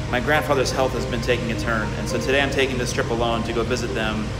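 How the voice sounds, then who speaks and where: Loud music plays in the background. Over it, a man speaks at a very fast pace. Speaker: vlogger. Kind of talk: casual vlog chat. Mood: reflective, warm. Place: boat. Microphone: phone near.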